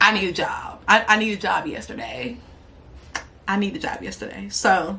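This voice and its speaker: A woman speaks at a moderate pace, her loudness swinging widely. The recording carries noticeable background noise and audible room echo. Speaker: YouTuber. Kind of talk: casual vlog monologue.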